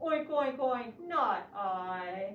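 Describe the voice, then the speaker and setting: This is a cartoonish character voice that sounds female, pitched high. A slight echo surrounds it. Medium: puppet show. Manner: says oink before each line.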